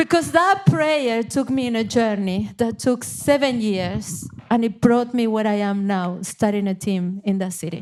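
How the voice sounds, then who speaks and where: Fairly slow yet with hardly any pauses, a woman with a fairly high voice and an Argentine accent speaks with lively intonation. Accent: Argentinian. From Argentina, Buenos Aires. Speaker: missionary leader. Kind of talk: interview.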